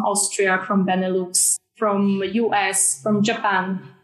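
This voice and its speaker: With a Polish accent, a woman talks at a medium pitch. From Poland. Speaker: film sales agent. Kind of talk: panel discussion. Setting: video call.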